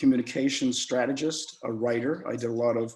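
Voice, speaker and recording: A man's dark, mellow voice at medium pitch, with fairly even intonation. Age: 70s. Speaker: survivor advocate, board member. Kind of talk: presentation. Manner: halting.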